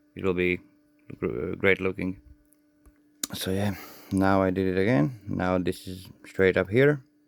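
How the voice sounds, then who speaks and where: In a non-native accent, a man with a very deep, low pitch talks at a fairly slow pace with ordinary pitch variation and long, frequent pauses. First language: not English. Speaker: radio hobbyist tutorial maker. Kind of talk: hands-on tutorial. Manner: halting, self-correcting.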